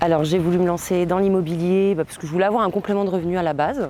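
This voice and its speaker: A woman speaks with a fairly low pitch and a dark, mellow tone. Her pitch varies in an ordinary way. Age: 30s. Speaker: client testimonial, machinist. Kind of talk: testimony. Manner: halting, many hesitations.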